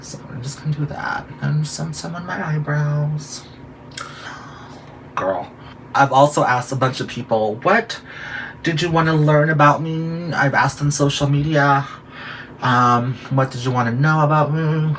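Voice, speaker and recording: Amid noticeable background noise, a man with a fairly high pitch speaks at a fairly slow pace with ordinary pitch variation and long, frequent pauses. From Guam and Philippines, then San Francisco. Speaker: drag queen and makeup vlogger. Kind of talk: makeup tutorial. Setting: bedroom. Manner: animated.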